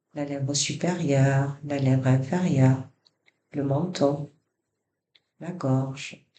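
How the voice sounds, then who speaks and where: Speaking at a very slow pace with long, frequent pauses, a man keeps a fairly high pitch and a monotone, flat intonation. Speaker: yoga nidra guide. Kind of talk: guided relaxation body scan. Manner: soft-spoken, slow.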